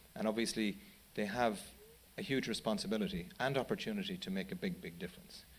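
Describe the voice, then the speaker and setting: A man with an Irish accent talks at a very fast pace with a medium pitch. His voice swings very widely in pitch. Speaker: charity chief executive. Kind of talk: panel talk. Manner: halting, many repetitions.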